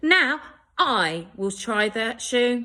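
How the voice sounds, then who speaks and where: A female-sounding voice in a put-on character voice is raised and projected at a fairly high pitch. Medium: read story. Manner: loud, pushy.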